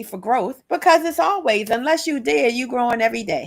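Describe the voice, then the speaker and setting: With an American accent, a woman talks in a high pitch, her voice making very wide pitch swings. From Maryland, US (Prince George's County). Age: 60s. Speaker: author and self-representation advocate. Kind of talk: podcast interview.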